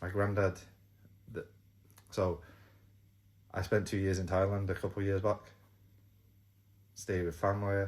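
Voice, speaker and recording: Somewhat breathy and in an English accent, the voice moves at a moderate pace with monotone, flat intonation. Long, frequent pauses break up the speech. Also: man, fairly low pitch for a man. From England. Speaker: YouTuber. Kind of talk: casual vlog talk. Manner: hesitant, repeats words.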